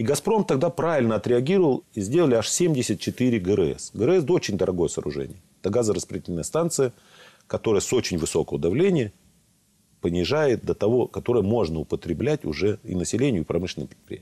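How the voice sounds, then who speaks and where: With vocal fry and a dark, mellow tone, a man speaks at a fairly quick pace, his pitch swinging very widely. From southern Russia, Rostov region; southern Russia. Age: 60s. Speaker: regional legislator and gas company director; guest. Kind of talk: studio interview. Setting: studio. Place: studio. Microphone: lapel.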